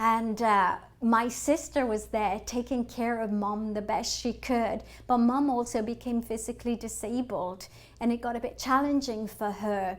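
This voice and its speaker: A woman speaks with an English accent at a moderate pace. Her fairly high pitch holds a fairly even intonation. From England. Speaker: financial advisor. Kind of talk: webinar presentation. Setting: online webinar.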